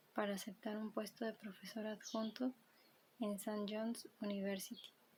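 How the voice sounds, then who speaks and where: The voice is soft-spoken. It moves at a fairly slow pace. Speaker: ASMR creator. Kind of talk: book reading.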